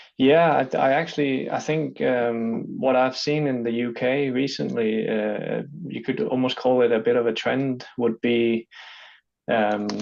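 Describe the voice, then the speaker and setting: The speech moves at a fairly slow pace with ordinary pitch variation. It carries a slight Danish accent. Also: man, medium pitch for a man. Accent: good English, lighter Danish. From Denmark. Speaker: freight company business development manager. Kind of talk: online interview. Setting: online video interview. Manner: hesitant, frequent fillers and repeats.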